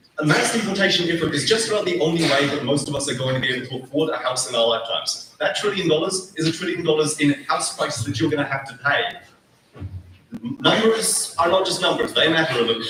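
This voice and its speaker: Talking very fast, a man with a New Zealand accent has a fairly high voice. Noticeable background noise and audible room echo are present. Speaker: student debater. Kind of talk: formal debate.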